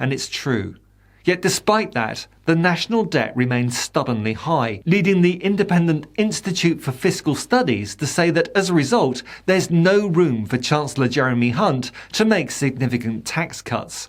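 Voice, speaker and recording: A man with a British accent, fairly high pitch and very wide pitch swings at a moderate pace, on a very clean recording with a silent background. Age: 60s. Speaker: political commentator. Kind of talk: scripted commentary.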